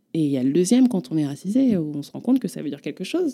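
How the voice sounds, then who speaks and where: Her tone is dark and mellow, at a medium pitch. The woman's pitch swings very widely. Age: 20s. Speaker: performance artist and author. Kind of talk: testimony.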